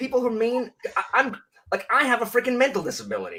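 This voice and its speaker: The speech comes at a very fast pace in an animated tone. It is loud. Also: man. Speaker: book video creator. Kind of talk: casual chat.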